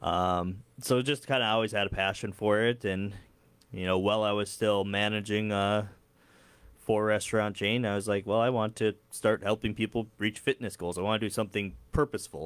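A man's fairly low voice keeps fairly even intonation at a moderate pace. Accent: American. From Upper Midwest US, Dilworth, Minnesota area. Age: 30s. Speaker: entrepreneur and fitness trainer. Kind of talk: casual interview.

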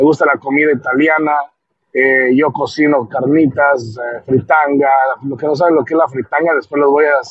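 A man's fairly high voice, monotone and flat in intonation, at a moderate pace. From Michoacán, Mexico. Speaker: podcast host, electrician. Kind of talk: casual monologue. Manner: halting.

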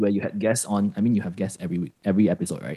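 A man talks at a very fast pace with lively intonation and a dark, mellow tone. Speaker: podcaster, former escape room operator. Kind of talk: casual interview chat.

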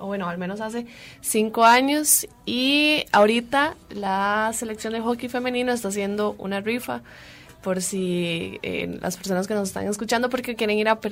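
A woman talks at a moderate pace with a fairly high pitch and ordinary pitch variation. It is an ordinary speaking voice. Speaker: radio host. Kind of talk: radio talk show. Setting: radio studio.

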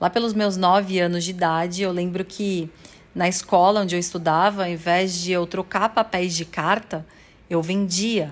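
A woman's unremarkable speaking voice at a medium pitch and moderate pace. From São Paulo, Brazil. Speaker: sales coach and podcast creator. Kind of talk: personal testimony monologue.

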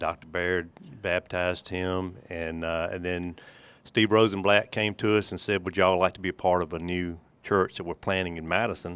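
A man with a Mississippi accent, very deep and low in pitch, fairly even in intonation, at a moderate pace, in a very clean recording with a silent background. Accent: US Southern (Mississippi). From Mississippi, Holmes County. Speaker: church elder and trust company businessman. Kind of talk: casual interview.

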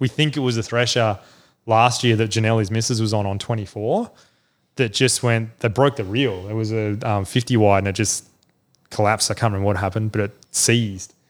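On a very clean recording with a silent background, a man with an Australian accent speaks fairly quickly at medium pitch with fairly even intonation. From South Australia (Adelaide). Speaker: fishing club manager. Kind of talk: casual chat.

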